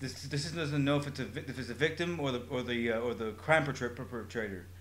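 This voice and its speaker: Audible room echo surrounds a man's medium-pitched voice. His tone is bright and sharp, with ordinary pitch variation. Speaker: podcast co-host. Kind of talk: casual chat. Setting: live-streamed podcast. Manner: fast; halting.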